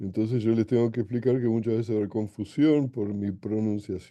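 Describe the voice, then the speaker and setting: This man's voice carries a dark, mellow tone. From Argentina, Buenos Aires. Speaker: physics professor. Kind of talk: lecture. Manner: hesitant, many fillers.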